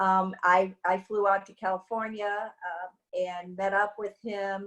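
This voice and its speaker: A woman with an American accent. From US Midwest, Indiana near Chicago. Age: 60s. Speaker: wellness device representative. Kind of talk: interview testimony. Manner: halting, many fillers.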